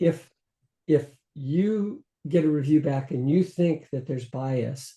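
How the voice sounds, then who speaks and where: A man with a fairly high pitch speaks in a dark, mellow tone that is somewhat breathy, using ordinary pitch variation. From US West (California, New Mexico). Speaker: journal editor-in-chief and microbiologist. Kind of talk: interview conversation. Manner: hesitant with repetitions.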